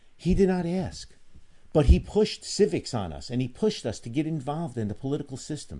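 Against a quiet background, a man talks at a fairly quick pace with a dark, mellow tone. His voice is somewhat breathy, and his pitch swings very widely. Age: 60s. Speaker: firearms trainer and radio co-host. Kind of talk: talk radio chat.

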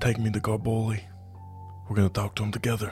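A man does a put-on character voice, husky and fairly low, at a very fast pace. Music plays in the background.

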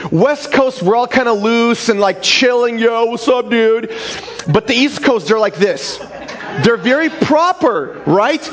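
Lively intonation and very even loudness at a fairly slow pace, with noticeable background noise. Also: man, extremely high pitch for a man. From former Soviet Union. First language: Russian. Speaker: pastor. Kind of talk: sermon. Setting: church.

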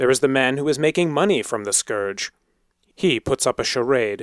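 A man at a moderate pace, dry and close with no echo, on a very clean recording with a silent background. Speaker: podcast host and fiction editor. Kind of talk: reading aloud.

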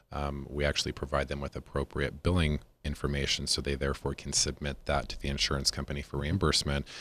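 With an American accent, a man talks at a very fast pace in a very deep, low pitch. His delivery is monotone and flat, with vocal fry. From Las Vegas, Nevada. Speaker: physician, medical director. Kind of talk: casual chat. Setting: studio.

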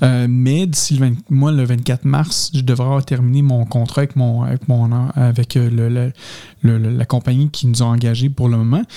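A man's dark, mellow voice at medium pitch in a Quebec accent, fairly slow, with monotone, flat intonation and a dry, close sound with no echo. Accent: Québécois French. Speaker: podcast host. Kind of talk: casual chat. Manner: halting.

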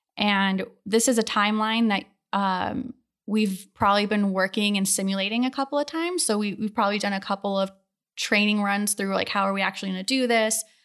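A woman with an American accent talks in a plain, everyday voice at medium pitch, with fairly even intonation and a fairly quick pace. The recording is very clean, with a silent background. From Ohio, Akron area. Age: 30s. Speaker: space mission flight controller. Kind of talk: casual interview.

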